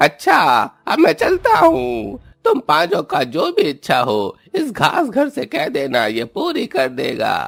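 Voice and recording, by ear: A man's cartoonish character voice at a fairly slow pace.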